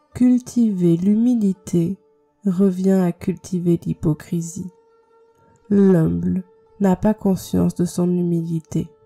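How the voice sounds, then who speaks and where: A woman's calm tone at a very slow pace, fairly even in intonation and very even in loudness, with long, frequent pauses, a dry, close sound with no echo, and music in the background. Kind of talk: meditation quote reading. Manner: slow, calm.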